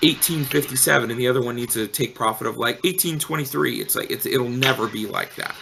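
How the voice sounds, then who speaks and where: Loud and at a very fast pace, a man with a medium pitch talks with lively intonation and hardly any pauses over noticeable background noise. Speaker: crypto trading bot developer. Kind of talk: casual chat.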